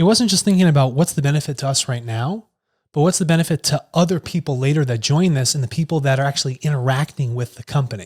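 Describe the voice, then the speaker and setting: A man with an American accent, fairly high-pitched and somewhat breathy, at a very fast pace with ordinary pitch variation, in a dry, close sound with no echo on a very clean recording with a silent background. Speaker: tech company executive. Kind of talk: casual conversation.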